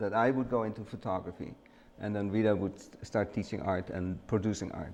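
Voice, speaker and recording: A man with a Dutch accent talks at a fairly quick pace in a fairly low pitch, with fairly even intonation and big swings in loudness. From Netherlands, The Hague. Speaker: retired photographer and studio owner. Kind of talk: casual interview. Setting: studio. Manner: halting.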